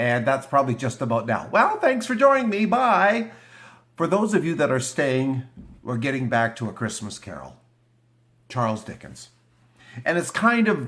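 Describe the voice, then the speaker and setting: The speaker moves at a moderate pace while the pitch swings very widely. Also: man. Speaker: YouTuber reading classic literature. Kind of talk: casual vlog chat before a reading.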